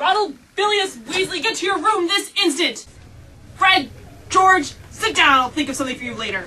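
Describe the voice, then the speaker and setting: In a put-on character voice, a female-sounding speaker goes at a moderate pace with an extremely high pitch. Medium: short film. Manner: angry, commanding.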